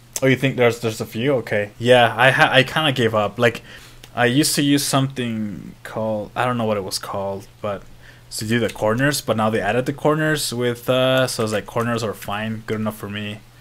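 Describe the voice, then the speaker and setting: This speaker has a non-native accent and fairly even intonation. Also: man, medium pitch for a man. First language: not English. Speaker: programming live streamer. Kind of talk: live coding stream chat. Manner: casual, halting with restarts.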